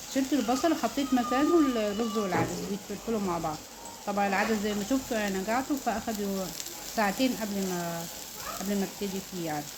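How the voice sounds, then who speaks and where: Amid noticeable background noise and audible room echo, a woman speaks at a moderate pace with a medium pitch and lively intonation. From Upper Egypt, Luxor. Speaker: home cook, mother. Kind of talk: cooking tutorial.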